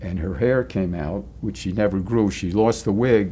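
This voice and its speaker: A man's very deep, low voice with a New Jersey accent. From Newark, New Jersey. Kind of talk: interview answer.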